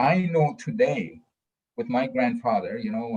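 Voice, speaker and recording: At a moderate pace, a man talks with a fairly high pitch and very wide pitch swings. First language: Dene language. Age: 60s. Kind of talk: webinar talk. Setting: video call. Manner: halting.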